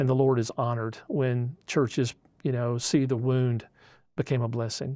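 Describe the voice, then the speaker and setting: This man has a medium-pitched voice with a dark, mellow tone. He speaks at a moderate pace in a flat monotone, over a quiet background. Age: 60s. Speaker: pastor. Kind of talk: casual chat.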